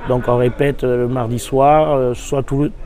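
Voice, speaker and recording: A man's voice over noticeable background noise. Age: 60s. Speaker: brass band conductor. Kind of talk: interview. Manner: hesitant, many fillers.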